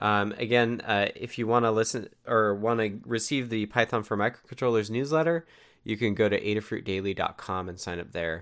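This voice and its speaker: A normal speaking voice at a moderate pace, with ordinary pitch variation. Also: man, fairly low pitch for a man. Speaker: meeting host. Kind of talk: weekly community meeting. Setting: online voice chat.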